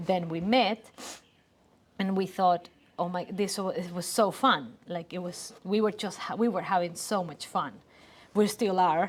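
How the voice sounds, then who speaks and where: Speaking with a Spanish accent, this voice moves at a fairly slow pace in fairly even intonation. Long pauses come often. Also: woman, medium pitch for a woman. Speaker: creative business co-owner. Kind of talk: casual chat. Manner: halting.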